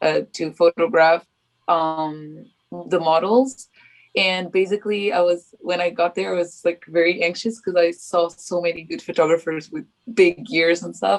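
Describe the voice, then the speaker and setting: A woman with a Portuguese accent at a moderate pace, with ordinary pitch variation. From Portugal. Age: 20s. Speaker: freelance photographer. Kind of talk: podcast interview answer.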